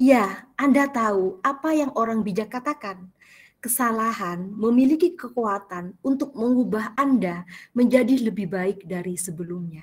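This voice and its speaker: Speaking at a fairly slow pace with an Indonesian accent, this voice is somewhat breathy and swings widely in loudness. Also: woman. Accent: Indonesian-accented Malay. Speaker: teacher giving book review. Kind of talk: book review presentation. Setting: video call. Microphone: headset.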